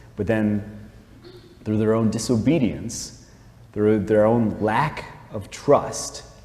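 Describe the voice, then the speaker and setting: A man speaks at a very slow pace with long, frequent pauses and ordinary pitch variation. Audible room echo and noticeable background noise fill the recording. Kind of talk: talk, spiritual reflection. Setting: chapel, live-streamed talk to audience. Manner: casual, filler-heavy (like, um).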